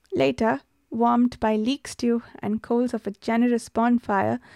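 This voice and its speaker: A woman speaks at a moderate pace with fairly high pitch and ordinary pitch variation. The recording is very clean, with a silent background and a dry, close sound with no echo. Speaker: podcast host and book reviewer. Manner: measured, storytelling read-aloud pace, formal and even, unlike the chatty intro; casual, chatty, laughs often, hesitant with filler words.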